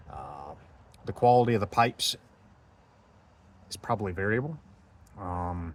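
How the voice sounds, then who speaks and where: A man with an American accent, fairly low pitch, lively intonation, big swings in loudness, a moderate pace and long, frequent pauses. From United States. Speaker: travel vlogger. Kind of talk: casual monologue vlog. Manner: hesitant, many fillers.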